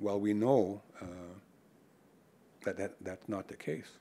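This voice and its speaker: At a moderate pace, a man speaks in a fairly low pitch with a dark, mellow tone. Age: 60s. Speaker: First Nations hereditary chief. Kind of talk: lecture. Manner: casual, conversational.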